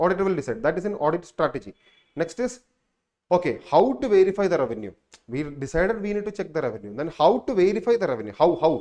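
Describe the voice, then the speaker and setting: Talking at a very fast pace, a man uses a high pitch with very wide pitch swings. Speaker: exam prep teacher. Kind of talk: lecture.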